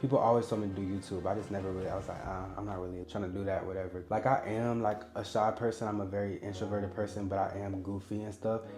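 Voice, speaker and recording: Very fast, monotone speech with flat intonation and hardly any pauses, over music in the background with audible room echo. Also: man, fairly low pitch for a man. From Indiana, Indianapolis. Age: 20s. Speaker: social media creator and model. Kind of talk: casual personal vlog narration. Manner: casual, relaxed with frequent fillers.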